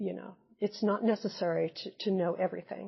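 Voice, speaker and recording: A woman's medium-pitched voice in a Midwestern American accent, with vocal fry, monotone, flat intonation and a fairly quick pace. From US Midwest. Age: 70s. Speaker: retired nurse and teacher. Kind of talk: oral history interview answer.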